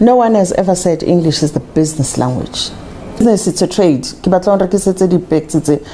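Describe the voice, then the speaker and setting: Loudness stays very even at a fairly quick pace, with ordinary pitch variation. Noticeable background noise runs underneath. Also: woman, medium pitch for a woman. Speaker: language and culture advocate. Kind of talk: interview. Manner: halting with repetitions.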